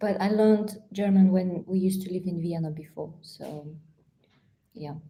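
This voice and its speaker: A woman's voice is somewhat breathy with a dark, mellow tone, fairly even intonation and big swings in loudness. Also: medium pitch for a woman, moderate pace. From Uzbekistan. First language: Russian. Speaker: travel vlogger. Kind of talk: live Q&A stream. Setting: live stream from home.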